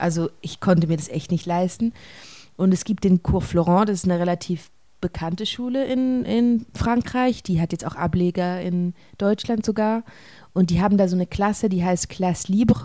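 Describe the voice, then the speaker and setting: A woman speaks in a normal speaking voice at medium pitch. Her pace is moderate and her pitch varies in an ordinary way. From Switzerland, rural village. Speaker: stage actor. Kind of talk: interview.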